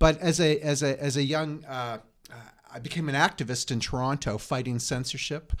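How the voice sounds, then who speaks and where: A man with a Canadian Maritime accent, fairly high pitch and fairly even intonation. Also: moderate pace. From Nova Scotia, Lunenburg County. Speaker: university press publisher. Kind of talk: interview. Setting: office.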